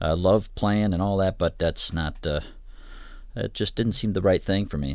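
A man with a Midwestern American accent. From Michigan, Ann Arbor. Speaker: studio director and recording instructor. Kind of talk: interview. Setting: studio control room.

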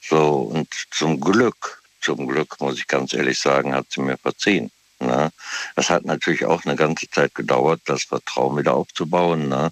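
The sound is dry and close with no echo as a man speaks at a very deep, low pitch with vocal fry. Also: ordinary pitch variation, fairly slow pace. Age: 60s. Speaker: caller. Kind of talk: casual chat. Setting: phone call.

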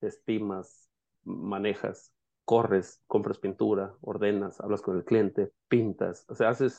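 The speaker talks at a very slow pace with a Mexican accent. The background is quiet. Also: man. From Mexico, Jalisco. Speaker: painting business owner and coach. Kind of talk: casual interview.

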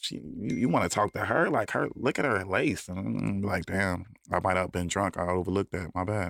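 A man with an American accent speaks at a very deep, low pitch with vocal fry. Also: ordinary pitch variation, fairly quick pace, hardly any pauses. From Chicago, South Side. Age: 30s. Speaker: record producer and songwriter. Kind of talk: casual interview.

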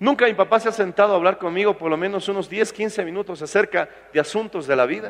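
A man talks at a very fast pace in a high pitch. His pitch variation is ordinary. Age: 40s. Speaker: pastor. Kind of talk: sermon.

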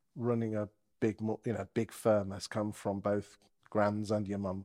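A man with an unremarkable speaking voice talks fairly slowly at a fairly low pitch. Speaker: interviewer, YouTube host. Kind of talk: casual interview chat.

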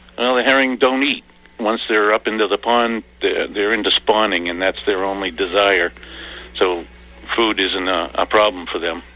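A man speaks at a moderate pace in a fairly low pitch, with noticeable background noise. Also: ordinary pitch variation. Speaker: herring warden. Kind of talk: interview.

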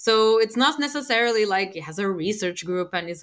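A woman with a Portuguese accent talks at a very fast pace with ordinary pitch variation, in a very clean recording with a silent background. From Portugal. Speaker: space microbiologist. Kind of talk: panel talk with audience.

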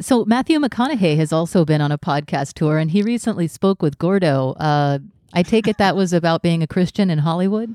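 In an ordinary speaking voice, a woman with an American accent speaks at a fairly quick pace with lively intonation and very even loudness, the sound dry and close with no echo. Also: fairly low pitch for a woman, very clean recording, silent background. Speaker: podcast host. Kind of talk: casual chat.

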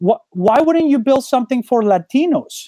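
Lively intonation marks this man's dark, mellow voice, which carries a Spanish accent and moves at a moderate pace. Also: dry, close sound with no echo. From Colombia. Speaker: startup founder. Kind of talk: interview. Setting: video call.

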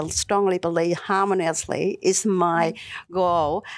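A woman's medium-pitched voice with a Vietnamese accent at a moderate pace, on a very clean recording with a silent background. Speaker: local councillor. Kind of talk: interview. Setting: studio. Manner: halting.

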